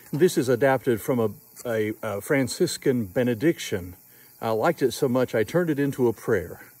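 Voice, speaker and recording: The man's voice sits at a medium pitch with lively intonation. He talks at a moderate pace in a dry sound with no echo. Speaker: prayer leader vlogger. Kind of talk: fervent evening prayer, led aloud. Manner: earnest, heartfelt, measured. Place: open country. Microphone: phone near.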